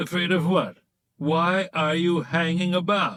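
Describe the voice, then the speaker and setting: A man's gruff, shouted character voice, high-pitched and monotone, at a fairly slow pace. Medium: read story. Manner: gruff, shouting.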